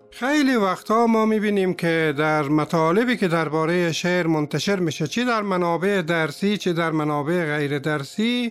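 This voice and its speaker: A high-pitched man's voice at a moderate pace, with ordinary pitch variation, very even loudness and hardly any pauses. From Afghanistan (Herat, Kabul). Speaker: poet and podcast host. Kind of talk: scripted podcast introduction.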